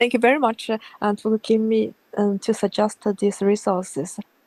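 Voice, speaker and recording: The voice has a Chinese accent and a dry, close sound with no echo. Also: woman. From China. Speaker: convert asking for advice. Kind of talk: casual chat. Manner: halting.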